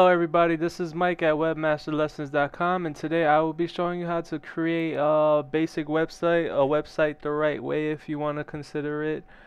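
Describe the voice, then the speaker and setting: Hardly pausing at all, a man talks with a fairly high pitch and monotone, flat intonation. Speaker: web design tutor. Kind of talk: screen-recorded tutorial. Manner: halting, many fillers.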